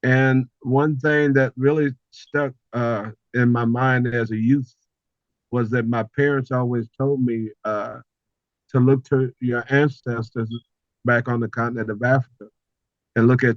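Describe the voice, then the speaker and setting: With an American accent, a man speaks at a fairly slow pace and medium pitch, his intonation fairly even, leaving long, frequent pauses in a dry, close sound with no echo. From Houston, Texas. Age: 60s. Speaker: consultant and cultural elder. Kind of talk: podcast interview. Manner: halting.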